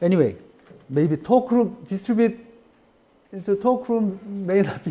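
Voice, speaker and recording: The man talks fairly slowly, his tone dark and mellow. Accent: Korean. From South Korea. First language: Korean. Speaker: professor. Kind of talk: lecture. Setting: classroom. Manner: halting. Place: classroom. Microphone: camera far.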